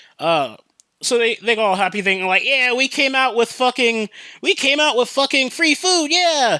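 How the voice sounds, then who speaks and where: In a very clean recording with a silent background, a man projects a raised voice with a bright, sharp tone, fairly quick pace and very wide pitch swings. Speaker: podcast host; customer service worker. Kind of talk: casual podcast talk. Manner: casual, profane.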